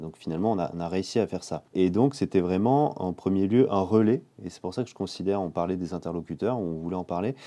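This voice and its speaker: This man's very deep, low voice has a dark, mellow tone, ordinary pitch variation and a fairly quick pace. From southeastern France, Menton. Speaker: medical physicist. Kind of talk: casual chat. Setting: shared office.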